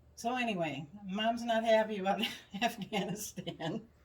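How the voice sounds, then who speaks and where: In an American accent, a woman speaks at a fairly slow pace with a fairly high, somewhat breathy voice. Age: 70s. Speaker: podcast co-host. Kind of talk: casual chat. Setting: in-person at home.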